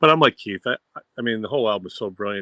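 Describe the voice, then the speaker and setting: This man has a fairly low pitch and speaks with a Boston accent. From Boston area, US. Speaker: music fan panelist. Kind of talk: casual chat.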